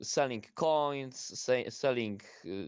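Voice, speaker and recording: A man with a Polish accent and ordinary pitch variation. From Poland. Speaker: student. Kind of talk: casual chat. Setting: online audio space. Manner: halting.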